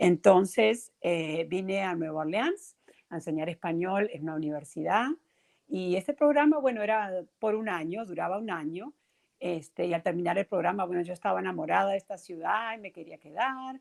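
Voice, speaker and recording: Her pitch is medium for a woman, with lively intonation. She keeps a moderate pace. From Uruguay, Montevideo. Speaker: teacher and children's author. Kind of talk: interview.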